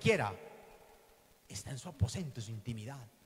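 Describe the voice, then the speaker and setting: A somewhat breathy man at medium pitch, talking at a very fast pace. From Colombia, western Antioquia. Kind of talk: teaching talk at a religious conference. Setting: hall with live audience. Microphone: handheld.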